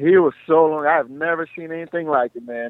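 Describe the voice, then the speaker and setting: A man speaks at a moderate pace. He talks with an American accent. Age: 20s. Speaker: mixed martial arts fighter. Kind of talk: interview. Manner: animated.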